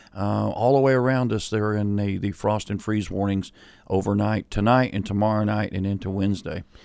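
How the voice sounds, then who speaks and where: In a normal speaking voice, a man talks at a fairly quick pace with a fairly low pitch and fairly even intonation. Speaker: pastor. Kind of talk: casual chat.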